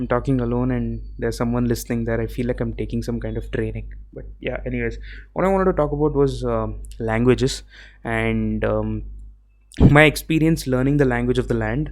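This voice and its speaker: A man speaks at a fairly quick pace with a South Indian accent. Room echo is audible around him. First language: Tamil. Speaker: podcaster. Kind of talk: solo podcast monologue. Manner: casual, with fillers and self-corrections.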